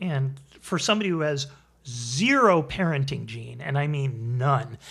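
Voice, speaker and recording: A man with an American accent and a fairly high pitch, a normal speaking voice at a moderate pace with ordinary pitch variation. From Connecticut, US. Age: 60s. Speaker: improv comedian. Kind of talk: interview.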